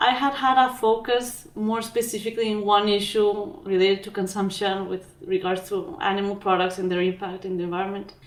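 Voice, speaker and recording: A woman with a strong Mexican accent, medium pitch and moderate pace. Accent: thick Mexican Spanish. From Mexico. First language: Spanish. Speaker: physician and documentary filmmaker. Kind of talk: interview.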